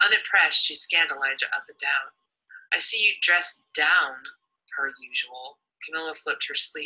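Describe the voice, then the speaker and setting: The pace stays moderate. The speaker is a woman. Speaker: writer reading own work. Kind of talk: reading aloud. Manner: halting.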